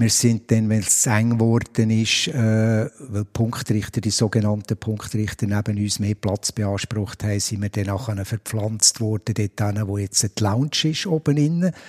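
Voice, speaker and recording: A man speaks at a fairly slow pace in a fairly low pitch with ordinary variation. The sound is dry and close, with no echo. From Switzerland, Biel. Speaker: stadium announcer. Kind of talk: interview. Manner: hesitant, many fillers.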